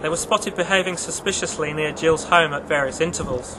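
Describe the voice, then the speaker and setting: Noticeable background noise is present. The talking is fairly quick, with fairly even intonation. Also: man. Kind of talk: true-crime documentary narration.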